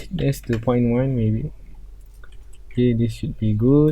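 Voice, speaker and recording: This man has a medium pitch and a dark, mellow tone. His voice is somewhat breathy. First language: not English. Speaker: 3D design tutorial creator. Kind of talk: tutorial. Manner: halting.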